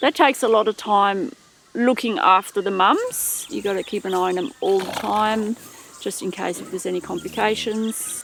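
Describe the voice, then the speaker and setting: A woman with a fairly high pitch speaks at a moderate pace with ordinary pitch variation. Noticeable background noise can be heard. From Switzerland. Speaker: dairy farmer. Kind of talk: interview answer.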